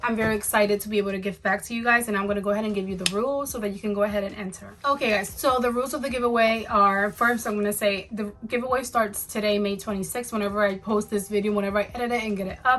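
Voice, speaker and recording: A woman's fairly high voice at a very fast pace, with hardly any pauses and fairly even intonation, against noticeable background noise. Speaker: beauty youtuber. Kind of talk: casual vlog talk to camera.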